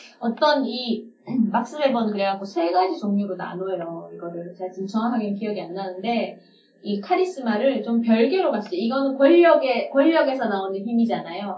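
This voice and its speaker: A woman with a fairly high pitch speaks with very wide pitch swings amid audible room echo. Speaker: communication and leadership trainer, podcast co-host. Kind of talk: casual chat.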